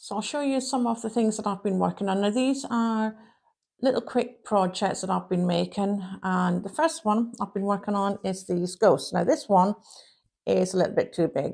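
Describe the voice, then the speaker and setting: In a very clean recording with a silent background, a woman with a Shetland accent speaks at a moderate pace, medium pitch and ordinary pitch variation. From Shetland Isles, Scotland. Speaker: crochet podcaster. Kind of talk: casual chat.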